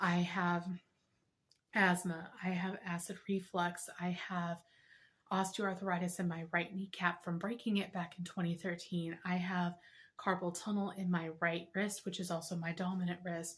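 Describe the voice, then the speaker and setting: A woman speaks at a fairly slow pace in a fairly low pitch. Her voice is somewhat breathy, with monotone, flat intonation. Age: 30s. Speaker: health vlogger. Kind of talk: personal testimony vlog.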